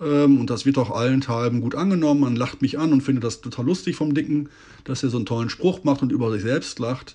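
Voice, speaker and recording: Speaking at a very fast pace, a man uses a medium pitch with ordinary pitch variation. His tone is dark and mellow. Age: 40s. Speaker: podcast host. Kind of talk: personal monologue. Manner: hesitant with filler sounds.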